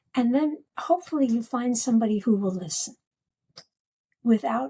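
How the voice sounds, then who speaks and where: A woman speaks at a moderate pace with a fairly high pitch. Her tone is dark and mellow, and somewhat breathy. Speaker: psychotherapist and dreamworker. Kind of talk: podcast interview. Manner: animated.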